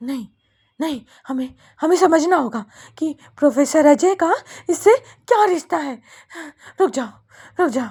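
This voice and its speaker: A put-on character voice, high in pitch, at a moderate pace with long, frequent pauses. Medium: read story.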